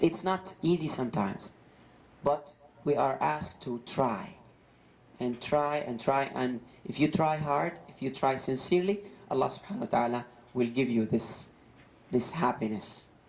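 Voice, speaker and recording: Long, frequent pauses break up a man's lively, medium-pitched speech in an Arabic accent. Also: moderate pace. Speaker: Islamic preacher. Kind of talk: religious lecture. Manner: halting, many fillers and repetitions.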